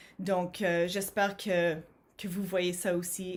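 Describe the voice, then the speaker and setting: Room echo is audible as a woman speaks. She talks at a very slow pace. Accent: English. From Montreal, Quebec (anglophone). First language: English (speaking French). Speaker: HR professional and conference speaker. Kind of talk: conference talk. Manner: hesitant, many fillers and repetitions.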